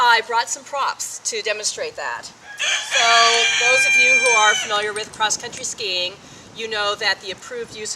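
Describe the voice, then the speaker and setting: Lively intonation from a woman at a moderate pace, with noticeable background noise. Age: 60s. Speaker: North Pole trekker. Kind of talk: interview answer.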